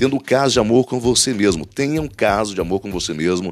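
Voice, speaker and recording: A man with lively intonation and an animated tone, at a fairly quick pace. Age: 50s. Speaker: motivational podcaster. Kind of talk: motivational monologue.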